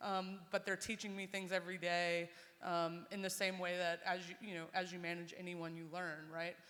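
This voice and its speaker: A woman's bright, sharp voice, fairly low in pitch, monotone and flat in intonation, at a moderate pace. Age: 30s. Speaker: media business owner. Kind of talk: panel discussion.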